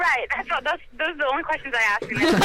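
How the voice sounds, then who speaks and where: A raised, projected voice with an American accent and lively intonation, over noticeable background noise. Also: woman. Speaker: singer-songwriter musician. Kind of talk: radio interview. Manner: halting, many fillers.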